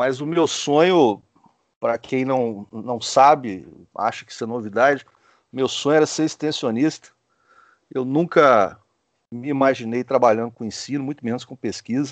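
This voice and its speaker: Talking at a moderate pace with long, frequent pauses, a man uses a medium pitch with ordinary pitch variation. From Brazil, Espírito Santo (small town). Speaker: animal science professor and scientist. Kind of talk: interview. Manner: hesitant, repeats words.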